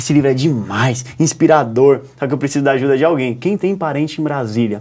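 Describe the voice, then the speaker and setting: In an animated tone, a man speaks at a fairly high pitch with ordinary pitch variation. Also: fairly quick pace. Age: 20s. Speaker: journalist and writer. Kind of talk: TV interview storytelling.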